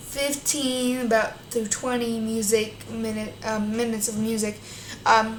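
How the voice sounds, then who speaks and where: Speaking at a fairly slow pace, a woman with a fairly high pitch is heard with audible room echo and noticeable background noise. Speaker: YouTuber reading a news article. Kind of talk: reading aloud. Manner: halting.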